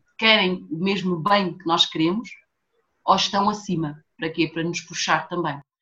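This woman's bright, sharp tone sits at a fairly low pitch, and she speaks at a fairly slow pace. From Portugal, raised from age 4; born São Tomé and Príncipe. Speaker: fashion designer and entrepreneur. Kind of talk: casual chat.

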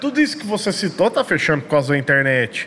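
A man talks fairly high in pitch. Noticeable background noise runs underneath. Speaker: podcast host. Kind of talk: casual chat.

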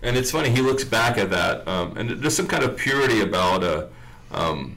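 A man speaks with vocal fry and lively intonation. Audible room echo surrounds his voice. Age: 40s. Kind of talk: casual chat. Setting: radio studio.

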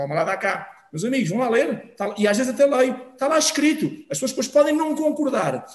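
At a fairly quick pace, a man speaks at an extremely high pitch with ordinary pitch variation. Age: 50s. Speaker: former football referee, sports commentator. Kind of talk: casual interview chat.

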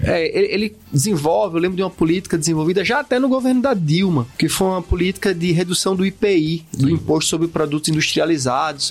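Keeping a very even loudness, a man with high pitch talks at a fairly quick pace with lively intonation and hardly any pauses. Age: 40s. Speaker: podcast co-host, humanities teacher. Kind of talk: casual educational discussion.

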